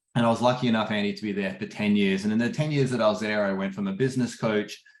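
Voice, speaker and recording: A man speaks in a fairly low voice with an Australian accent and ordinary pitch variation. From Australia, Perth. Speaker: business coach. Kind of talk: webinar interview.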